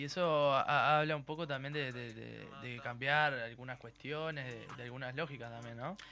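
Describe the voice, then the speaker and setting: Here a man with medium pitch and a bright, sharp tone speaks at a moderate pace with hardly any pauses. His intonation is fairly even, while his loudness swings widely. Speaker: radio host. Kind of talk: casual chat.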